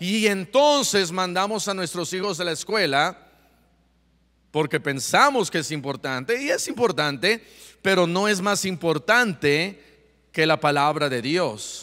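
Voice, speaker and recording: This man has a high pitch and a bright, sharp tone, talking at a fairly slow pace with very wide pitch swings on a very clean recording with a silent background. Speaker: pastor. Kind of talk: sermon.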